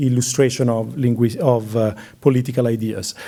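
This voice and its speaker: A man with an Italian accent speaks at a moderate pace in a medium pitch, his dark, mellow tone carrying fairly even intonation. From Italy. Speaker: curator. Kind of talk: lecture Q&A. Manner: hesitant, many fillers.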